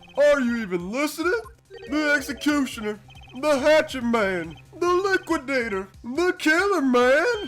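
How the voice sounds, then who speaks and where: A put-on character voice with a high pitch runs at a moderate pace. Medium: fan dub. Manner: pompous, condescending, theatrical.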